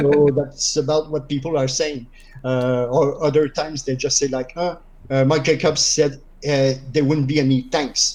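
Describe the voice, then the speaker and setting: A man speaks in a French Canadian accent at a moderate pace. His fairly high voice stays monotone and flat. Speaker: gamer interviewed on stream. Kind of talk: casual chat.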